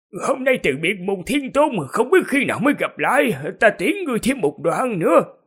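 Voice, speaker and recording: In a put-on character voice, a man speaks at a moderate pace with an extremely high pitch and very wide pitch swings. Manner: emotional, reluctant to part.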